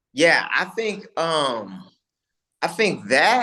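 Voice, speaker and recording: Against a quiet background, a man with a bright, sharp tone speaks at a very slow pace with lively intonation. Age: 30s. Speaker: MMA fighter. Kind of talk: interview.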